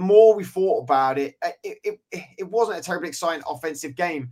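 A man talks at a fairly quick pace with a fairly high pitch. His tone is slightly mellow, with ordinary pitch variation.

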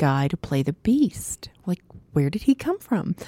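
A woman with a Canadian Prairie accent speaks at a moderate pace in a fairly low pitch, her dark, mellow tone and lively intonation captured in a dry, close recording with no echo. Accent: Canadian English (Prairies). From Saskatchewan, Canada (small town near Saskatoon). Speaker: theatre designer and professor. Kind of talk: interview.

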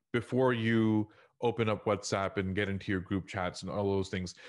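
Against a quiet background, a man with a plain, everyday voice speaks at a moderate pace, his pitch fairly low and his intonation fairly even. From US South, Houston, Texas. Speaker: technology consultant and leadership trainer. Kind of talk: interview.

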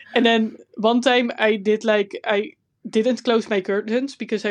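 With a Dutch accent, a woman speaks at a fairly high pitch in a dry, close sound with no echo over a quiet background. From Netherlands. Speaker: podcast co-host and artist. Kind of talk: casual chat.

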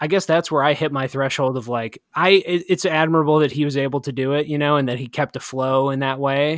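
A man with a plain, everyday voice speaks at a fairly high pitch, fairly quickly and with hardly any pauses, his intonation fairly even and the sound dry and close with no echo. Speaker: podcast host. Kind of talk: casual podcast conversation with co-host, book review; reading a poem aloud. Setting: remote recording, both in quarantine.

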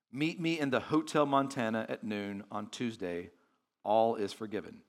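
Recorded very cleanly over a silent background, a man with an ordinary speaking voice talks at a fairly slow pace with lively intonation. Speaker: visiting pastor. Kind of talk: sermon. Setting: church. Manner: conversational, warm, filler-heavy.

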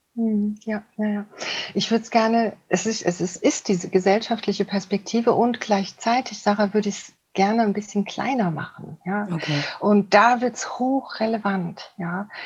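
A somewhat breathy woman's voice at medium pitch, moderate pace, fairly even intonation and big swings in loudness. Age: 50s. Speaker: couples therapist. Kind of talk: interview. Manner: halting.

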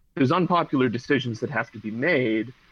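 With an American accent, a man speaks in a normal speaking voice at a moderate pace and a medium pitch. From Pittsburgh, US. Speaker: PhD student and labor organizer. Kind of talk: podcast interview.

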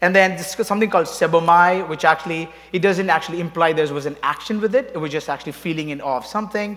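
A man with a non-native accent speaks at a very fast pace with hardly any pauses. His high pitch varies in an ordinary way. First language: not English. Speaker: worship leader. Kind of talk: sermon. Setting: church. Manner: halting.

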